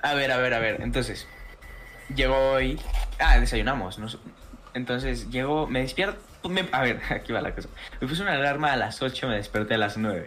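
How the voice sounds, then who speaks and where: A medium-pitched man with a Mexican accent, ordinary pitch variation and long, frequent pauses, amid noticeable background noise and audible room echo. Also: moderate pace. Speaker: friend. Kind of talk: casual chat.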